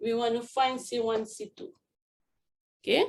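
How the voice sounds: Speaking at a fairly slow pace, a woman with a fairly high pitch shows vocal fry and little pitch movement.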